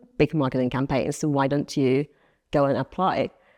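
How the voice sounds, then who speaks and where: With a Finnish accent, a woman with a very deep, low pitch and a dark, mellow tone speaks with ordinary pitch variation, in a dry, close sound with no echo and a quiet background. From Finland, small town. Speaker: marketing director. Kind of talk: interview. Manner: hesitant, many fillers.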